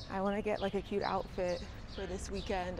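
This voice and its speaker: A woman's voice with vocal fry amid noticeable background noise. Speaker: vlogger. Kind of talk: casual vlog chat. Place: street. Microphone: lapel.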